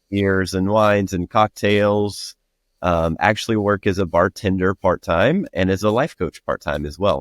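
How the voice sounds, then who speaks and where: A man with a very deep, low voice and a Southern US accent talks at a moderate pace with fairly even intonation, recorded dry and close with no echo. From Alabama, US South. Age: 30s. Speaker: podcast guest, bartender and life coach. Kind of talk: casual interview chat. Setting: remote recording platform.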